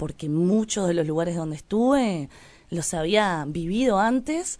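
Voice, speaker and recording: A woman speaks in a normal speaking voice at a moderate pace. Her pitch is fairly low and her intonation is lively. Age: 30s. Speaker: writer. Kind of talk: interview. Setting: studio.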